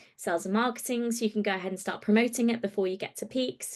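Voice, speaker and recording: A woman's plain, everyday voice, with fairly even intonation and a quiet background. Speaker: travel trade platform presenter. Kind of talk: training webinar walkthrough.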